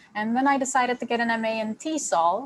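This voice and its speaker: This woman has a Turkish accent and speaks at a fairly slow pace. Her pitch varies in an ordinary way. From Turkey, Istanbul. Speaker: graduate student and teacher educator. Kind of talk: self-introduction in online training.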